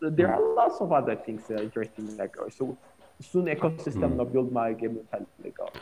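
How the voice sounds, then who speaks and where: The speaker has an Ethiopian accent. The delivery comes at a very fast pace. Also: man. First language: Amharic. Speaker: tech startup founder. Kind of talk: casual interview.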